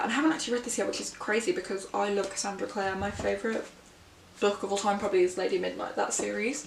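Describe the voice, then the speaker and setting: A woman speaking at a very fast pace, with audible room echo and noticeable background noise. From England, Birmingham. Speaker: book vlogger. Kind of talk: casual vlog chat.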